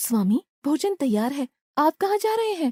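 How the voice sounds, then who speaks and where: A cartoonish character voice that sounds female comes out high-pitched for a woman, with very wide pitch swings at a moderate pace. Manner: sweet, respectful.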